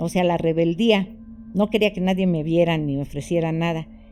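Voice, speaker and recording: Over music in the background, a woman speaks at a moderate pace with a medium pitch. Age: 70s. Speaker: orphanage abuse survivor. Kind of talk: testimony.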